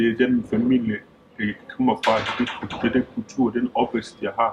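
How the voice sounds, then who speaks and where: Over noticeable background noise, a man speaks fairly slowly in a flat monotone. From Denmark, Skanderborg and central Jutland. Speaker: interviewee, football referee. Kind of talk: documentary interview. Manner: halting, many fillers and repetitions.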